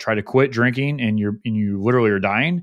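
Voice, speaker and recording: Over a quiet background, a man with an unremarkable speaking voice speaks at a medium pitch with fairly even intonation. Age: 30s. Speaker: podcast host appearing as guest. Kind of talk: casual interview chat.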